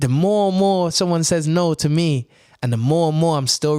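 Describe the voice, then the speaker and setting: The recording is very clean, with a silent background. A man talks at a fairly high pitch with ordinary pitch variation. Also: dry, close sound with no echo. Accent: Birmingham. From Birmingham, England. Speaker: actor and radio presenter. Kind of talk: casual chat.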